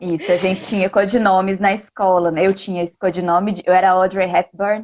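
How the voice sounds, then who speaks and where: This woman talks at a moderate pace in a strong Minas Gerais accent. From Minas Gerais, Brazil (Belo Horizonte). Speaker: language school host. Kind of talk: casual chat. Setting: live stream.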